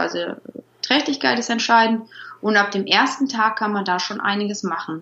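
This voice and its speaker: This is an ordinary speaking voice from a woman. She talks at a moderate pace with ordinary pitch variation. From Rhineland, Germany (Troisdorf near Bonn). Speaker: dog trainer. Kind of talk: interview.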